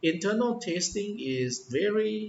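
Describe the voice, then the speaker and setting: A man with a non-native accent, very slow in pace, with very wide pitch swings. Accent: non-native English, far from perfect. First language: Thai. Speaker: English teacher. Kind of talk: tutorial talk. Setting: indoors, office. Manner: hesitant, many fillers.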